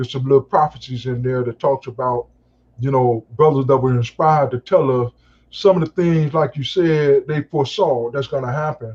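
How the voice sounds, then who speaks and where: A man with a fairly high, somewhat breathy voice talks at a moderate pace with fairly even intonation. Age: 60s. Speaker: call-in participant in a live discussion. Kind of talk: casual group discussion. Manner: halting, many fillers.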